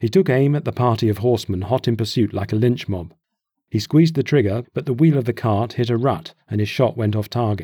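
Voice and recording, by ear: Reading aloud in a natural voice, the speaker shows ordinary pitch variation against a quiet background.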